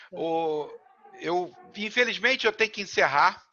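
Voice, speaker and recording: A man speaks at a fairly slow pace. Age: 60s. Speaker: life coach and talk show host. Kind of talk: panel discussion.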